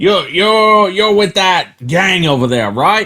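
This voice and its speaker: In a put-on character voice, a man talks loudly and very slowly in a gruff, high-pitched tone. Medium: actual play. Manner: gruff, loud, blunt.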